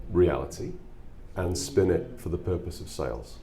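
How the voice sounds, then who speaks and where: A man with a very deep, low voice speaks in a British accent at a moderate pace. Room echo is audible. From England. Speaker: musician with a corporate job. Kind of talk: interview.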